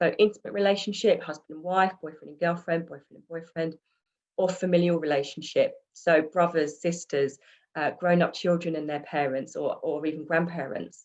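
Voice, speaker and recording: Her loudness swings widely while a woman with a fairly low pitch keeps her intonation fairly even. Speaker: domestic abuse support lead at a housing provider. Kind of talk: webinar presentation of case studies. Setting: video call. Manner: fast.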